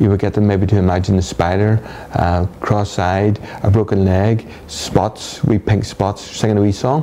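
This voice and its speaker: In a Northern Irish accent, a man speaks at a moderate pace and a fairly low pitch, with ordinary pitch variation and very even loudness, against noticeable background noise. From Northern Ireland. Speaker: hypnotherapist. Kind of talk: interview.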